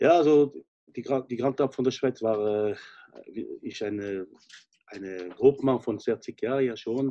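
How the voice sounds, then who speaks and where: A man speaks at a fairly slow pace in a dark, mellow tone. His pitch varies in an ordinary way against a quiet background. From French-speaking Switzerland. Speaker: chef, restaurant owner. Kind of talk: interview answer. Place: home room. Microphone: video call.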